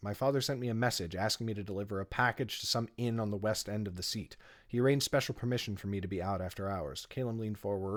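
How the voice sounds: A natural reading voice is what the clip holds.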